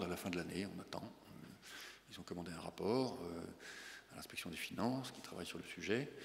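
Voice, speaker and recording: A man talks at a very fast pace, with audible room echo around his voice. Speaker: public bank chief executive. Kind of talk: conference talk and Q&A. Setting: business breakfast with audience.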